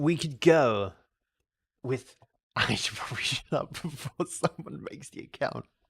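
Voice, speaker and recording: Speaking at a fairly slow pace with long, frequent pauses, a man uses a fairly high pitch and vocal fry. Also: dry, close sound with no echo. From Australia. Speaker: video game streamer. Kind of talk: live game stream chat. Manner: halting, repeats words often; animated.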